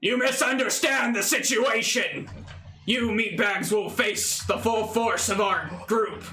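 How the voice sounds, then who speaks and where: A man performs a put-on character voice at an extremely high pitch. He goes at a fairly slow pace while faint music plays in the background. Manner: arrogant, threatening.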